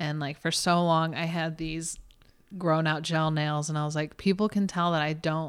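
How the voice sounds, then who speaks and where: A woman talks at a moderate pace in a fairly low pitch. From small-town Texas. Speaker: talent manager. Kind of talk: casual interview chat. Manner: animated, laughing often.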